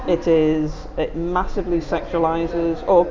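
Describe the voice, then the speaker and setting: There is noticeable background noise behind this woman. Her voice sits at a fairly low pitch. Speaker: therapist. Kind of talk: casual chat. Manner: loud.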